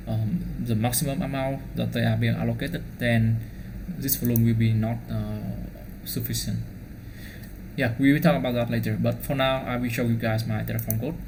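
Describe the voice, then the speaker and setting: Room echo is audible as a man speaks with a Vietnamese accent. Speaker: DevOps engineer. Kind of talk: tutorial. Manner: fast; halting.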